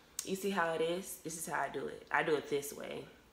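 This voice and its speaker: Over noticeable background noise, a woman talks at a fairly quick pace with a fairly low pitch. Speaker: beauty vlogger. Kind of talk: tutorial. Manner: fast; animated.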